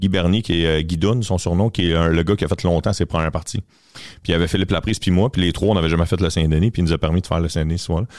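With a very deep, low voice, a man speaks very fast at a very even loudness and with ordinary pitch variation. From Quebec, south shore of Montreal. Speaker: comedian. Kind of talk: casual chat.

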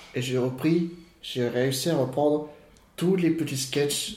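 Speaking very slowly in a medium-pitched, somewhat breathy voice, a man shows ordinary pitch variation amid audible room echo. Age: 30s. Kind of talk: casual family chat; personal storytelling interview. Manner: halting, repeats words.

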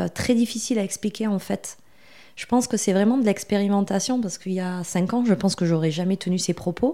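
At a fairly quick pace, a woman speaks with a slight southwestern French accent. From southwestern France. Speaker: marketing agency founder. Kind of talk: podcast interview. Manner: hesitant, with frequent fillers.

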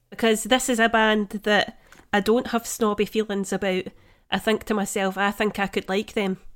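In a very clean recording with a silent background, a woman with a Scottish accent speaks at a moderate pace in a monotone, flat intonation. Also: fairly high pitch for a woman. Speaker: podcast co-host. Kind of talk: casual chat. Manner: melodic.

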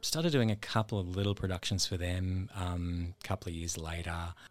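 Over a very clean recording with a silent background, a speaker with an Australian accent talks at a fairly quick pace. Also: man. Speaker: stage actor. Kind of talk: casual interview.

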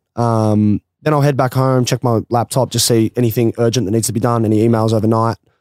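A man talks at a very fast pace with hardly any pauses, in an Australian accent and a medium pitch. His intonation is monotone and flat, and the very clean recording has a silent background and a dry, close sound with no echo. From rural Australia. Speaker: former footballer and business founder. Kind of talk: casual chat.

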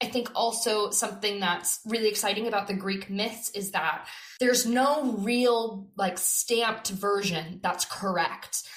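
A woman with an American accent speaks in a normal speaking voice at a fairly high pitch. Her pace is fairly slow, with hardly any pauses and fairly even intonation. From California. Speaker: theatre director. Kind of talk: interview.

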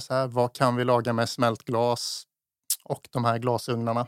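A man speaks at a moderate pace in a medium pitch. The sound is dry and close with no echo, on a very clean recording with a silent background. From Småland, Sweden (Eksjö). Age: 30s. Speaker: chef and restaurant owner. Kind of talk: casual interview. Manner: halting.

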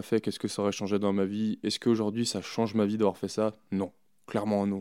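In a very clean recording with a silent background, a man speaks in a fairly low pitch. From France, Chamonix (Haute-Savoie). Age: 30s. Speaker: alpine ski racer. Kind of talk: interview. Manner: hesitant, many fillers.

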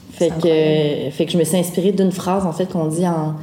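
At a moderate pace, a woman speaks in a very deep, low pitch with monotone, flat intonation, along with audible room echo and noticeable background noise. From Quebec, Wendat, raised outside Wendake. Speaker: folk singer-songwriter. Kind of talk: casual interview.

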